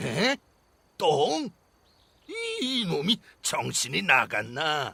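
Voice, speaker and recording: A man puts on a character voice at a fairly high pitch, with very wide pitch swings, at a very slow pace. The sound is dry and close, with no echo. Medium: read story. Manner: blustering.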